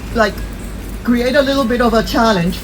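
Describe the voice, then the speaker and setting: There is noticeable background noise behind a woman speaking with a Spanish accent. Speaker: dog breeder. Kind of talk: interview-style explanation. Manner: halting, many fillers and repetitions.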